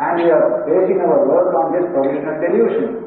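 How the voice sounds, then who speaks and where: The speech moves at a moderate pace, with light background noise and strong room echo. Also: man. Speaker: monk teacher. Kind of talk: lecture. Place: hall.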